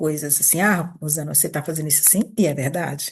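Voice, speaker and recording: A woman talks at a very fast pace in a very deep, low voice. Her intonation is fairly even, and the background is quiet. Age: 60s. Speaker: therapist / coach running an institute. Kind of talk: informal talk answering a group question. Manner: conversational, with hesitations and repetitions.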